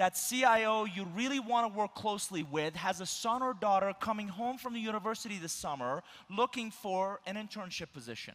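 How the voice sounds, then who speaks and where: A man with a high-pitched voice. He talks at a fairly quick pace. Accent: Persian. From Iran. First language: Persian. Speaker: keynote speaker. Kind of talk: keynote speech. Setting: conference stage with audience.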